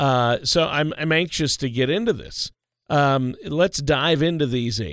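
Lively intonation marks this man's unremarkable speaking voice as he talks at a moderate pace in a very clean recording with a silent background. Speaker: co-host. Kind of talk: radio show discussion. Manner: joking, playful.

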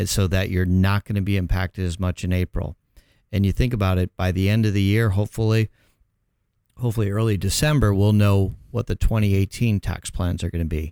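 On a very clean recording with a silent background and a dry, close sound with no echo, a man with an American accent speaks at a fairly quick pace, his tone dark and mellow, his pitch fairly low and his intonation fairly even. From Chicago, US Midwest. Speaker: accountant and tax professional. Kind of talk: radio interview.

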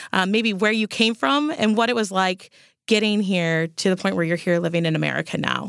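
A woman with a normal speaking voice talks at a fairly quick pace. Her pitch is medium, with ordinary pitch variation. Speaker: podcast host. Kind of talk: interview. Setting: studio.

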